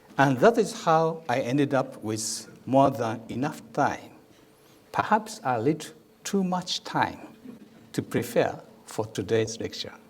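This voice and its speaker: A man's fairly high voice with very wide pitch swings, a fairly slow pace, and long, frequent pauses. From Japan. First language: Japanese. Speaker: ambassador. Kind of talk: lecture. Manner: reads from a prepared script.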